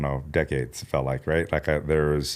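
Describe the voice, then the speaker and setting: A fairly quick pace from a man with an American accent. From California. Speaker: chef and restaurateur. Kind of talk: casual chat. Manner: halting, many fillers.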